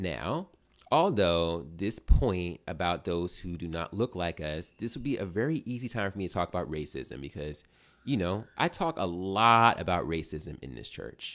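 Very deep and low, a man's voice moves at a moderate pace with lively intonation. The background is quiet. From Philadelphia, US. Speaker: pastor. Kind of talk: sermon. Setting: church with online stream. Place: home room. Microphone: studio mic.

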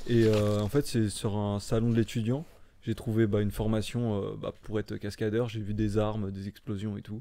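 Moderately paced, the voice has a dark, mellow tone and a monotone, flat intonation. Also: man, fairly low pitch for a man. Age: 20s. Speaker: stuntman; podcast guest. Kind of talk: casual chat. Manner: deadpan. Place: home room. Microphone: studio mic.

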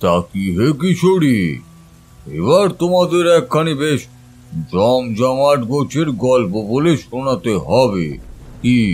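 This man talks at a medium pitch and a fairly slow pace. His voice makes very wide pitch swings. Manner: warm, reflective, storytelling.

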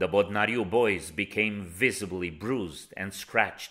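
On a very clean recording with a silent background, a man with a fairly low pitch and a bright, sharp tone speaks with fairly even intonation. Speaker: protest statement reader. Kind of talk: rally speech, solemn defiant protest statement read aloud. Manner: forceful, emphatic, declamatory with a repeated call of 'Hear us, Norway'; formal, measured, accusatory.

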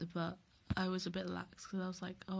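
The speech comes at a very fast pace over light background noise. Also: woman. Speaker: university student; student vlogger. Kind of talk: casual vlog talk to camera. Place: home room. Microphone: webcam.

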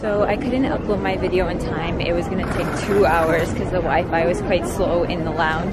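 A woman's voice sounds dry with no echo against loud background noise. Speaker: vlogger. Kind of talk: casual talk to camera. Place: station. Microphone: phone near.

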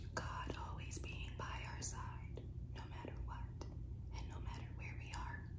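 Someone is whispering at a fairly slow pace. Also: woman. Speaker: ASMR creator. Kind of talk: casual ASMR talk. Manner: whispered. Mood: calm, comforting. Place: home room. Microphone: phone near.

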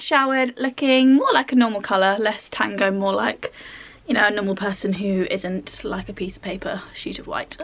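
A woman talks at a moderate pace with ordinary pitch variation and big swings in loudness. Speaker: vlogger. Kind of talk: casual vlog chat. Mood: cheerful, laughing. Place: home room.

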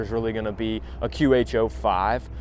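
Light background noise under a dry, echo-free male voice. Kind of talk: product review tutorial. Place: street.

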